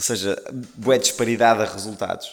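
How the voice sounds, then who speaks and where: Music plays in the background as a man talks. He keeps a moderate pace with ordinary pitch variation. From northern Portugal, Maia. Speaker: singer. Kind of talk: casual interview chat.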